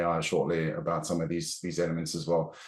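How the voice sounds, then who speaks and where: Lively intonation marks this man's speech. He talks at a fairly quick pace. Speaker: financial modelling trainer. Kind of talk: webinar presentation. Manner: fast.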